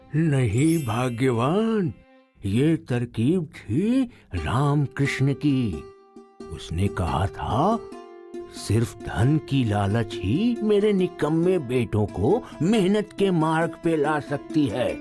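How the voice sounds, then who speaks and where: A man performs a cartoonish character voice at a medium pitch and a very slow pace. Clear music plays in the background. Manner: weary, gentle.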